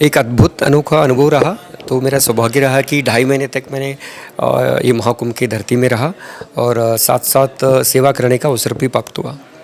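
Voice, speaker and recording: A man with a Telangana accent speaks at medium pitch and a moderate pace, his intonation fairly even, over noticeable background noise. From Andhra Pradesh, India (Tirupati). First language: Telugu (speaking Hindi). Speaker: retired army doctor. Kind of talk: interview. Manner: halting, many filler sounds.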